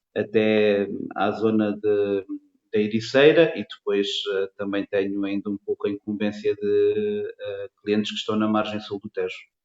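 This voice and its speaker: A man talks with a fairly low pitch. His intonation stays fairly even. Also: fairly slow pace. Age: 40s. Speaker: construction materials salesman. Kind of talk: interview. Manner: hesitant with many fillers.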